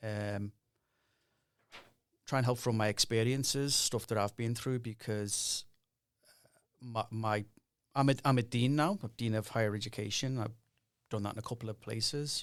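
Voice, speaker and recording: A man with a Liverpool accent at medium pitch, fairly even intonation, a moderate pace with long, frequent pauses, on a very clean recording with a silent background. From northern England, Liverpool. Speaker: university dean. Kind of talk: podcast interview.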